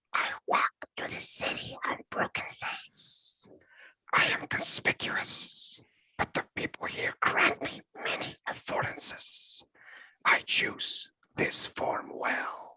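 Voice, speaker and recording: Putting on a raspy character voice with an extremely high pitch, a man speaks at a fairly slow pace. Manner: scary, ominous.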